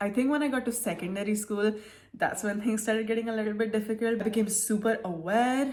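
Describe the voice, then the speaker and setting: A woman speaks at a very fast pace in a fairly high-pitched, somewhat breathy voice. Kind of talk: casual talk to camera.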